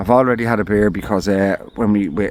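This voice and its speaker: A man with an Irish accent, fairly low pitch, a moderate pace and fairly even intonation. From Ireland. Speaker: camping vlogger. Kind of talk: casual vlog talk. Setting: outdoors in a forest camp hut. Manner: rambling, halting with fillers.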